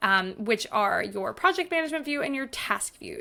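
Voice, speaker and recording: A woman with a bright, sharp tone speaks at a moderate pace. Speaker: online course creator and productivity coach. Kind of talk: tutorial.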